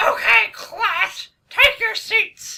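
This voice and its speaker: A woman puts on a squeaky character voice. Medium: audio drama. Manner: firm, stern.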